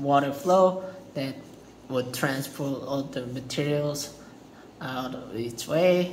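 With a non-native accent, a man speaks at a very slow pace and a fairly high pitch, with long, frequent pauses, fairly even intonation and light background noise. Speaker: student. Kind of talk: class presentation. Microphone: phone near.

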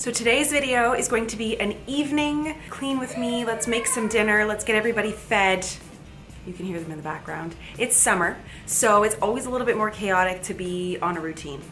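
With faint music in the background, a woman speaks at a fairly quick pace. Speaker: lifestyle vlogger. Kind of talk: casual vlog chat. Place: home room.

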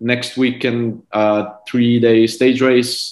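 Against a quiet background with audible room echo, a man of medium pitch speaks at a very slow pace. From Estonia. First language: Estonian. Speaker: professional cyclist; guest. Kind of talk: interview. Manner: halting. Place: home room. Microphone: video call.

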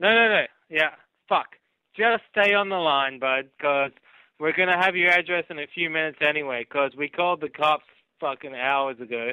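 A man speaks at a moderate pace with ordinary pitch variation, the sound dry with no echo and the background quiet. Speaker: caller. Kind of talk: prank phone call banter. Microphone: phone line.

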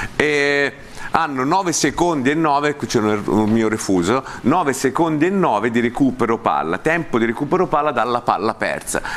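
Keeping a very even loudness, a man talks at a moderate pace with lively intonation. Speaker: football coach and analyst; football coach, analyst. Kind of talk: studio football talk show. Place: studio. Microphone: lapel.

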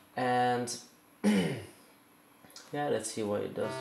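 Light background noise and audible room echo accompany a man speaking at a fairly slow pace. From Italy. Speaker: circuit bender, instrument builder. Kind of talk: tutorial explanation to camera. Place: home room. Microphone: phone near.

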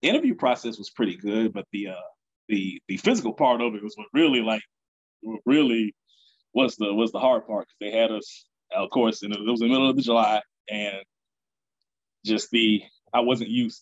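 A man speaks at a fairly quick pace, the background quiet. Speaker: podcast guest. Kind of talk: interview answer. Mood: relaxed, smiling storytelling. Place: home room. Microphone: video call.

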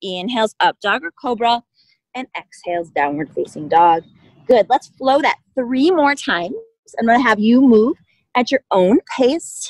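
The voice moves through very wide pitch swings at a fairly slow pace. The sound is dry with no echo, over a quiet background. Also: woman, high pitch for a woman. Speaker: yoga instructor. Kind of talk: guided yoga class, cueing poses and breath in a calm, steady, encouraging voice. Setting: outdoors at a park, online class. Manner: calm, soothing, unhurried, encouraging. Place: open country.

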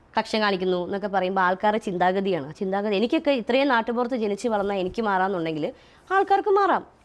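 A woman speaks at a medium pitch with ordinary pitch variation. It is a plain, everyday voice. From Kerala, Kottayam district, later Chalakudy area. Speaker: social media personality. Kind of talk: interview.

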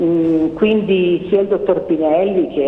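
A woman with a fairly low voice talks at a fairly slow pace with lively intonation, amid noticeable background noise and audible room echo. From northern Italy, Cremona. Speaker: doctor. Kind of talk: testimony.

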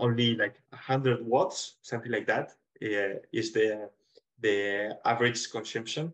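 In a quiet background, a man with a Spanish accent speaks with fairly even intonation. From Spain. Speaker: engineer, project co-director; presenter. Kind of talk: presentation; webinar panel answer. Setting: video call. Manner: halting. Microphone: webcam.

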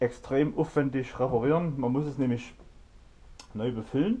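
A dark, mellow tone at a fairly quick pace, with ordinary pitch variation. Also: man. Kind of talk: tutorial. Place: garage.

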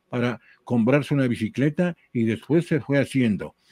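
A man talks in a plain, everyday voice at medium pitch, his intonation lively. The pace is fairly slow and the background quiet. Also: dry sound with no echo. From Ecuador, Tulcán (northern highlands); Ecuador. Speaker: retired sports journalist, cycling specialist; retired sports journalist. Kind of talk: casual interview chat. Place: home room. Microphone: headset.

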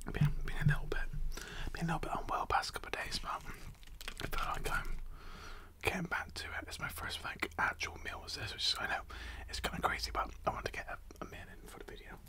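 Whispering and soft-spoken, the voice moves at a fairly quick pace with big swings in loudness over light background noise. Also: man. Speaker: food video host. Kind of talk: casual mukbang chat. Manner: soft ASMR whisper close to mic. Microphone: studio mic.

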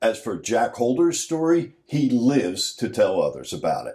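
A man is speaking. His pace is moderate. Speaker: documentary narrator. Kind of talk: documentary narration.

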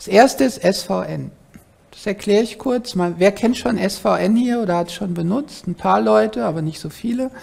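A woman's fairly low voice with very wide pitch swings. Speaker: professor. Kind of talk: lecture. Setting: lecture hall. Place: hall.

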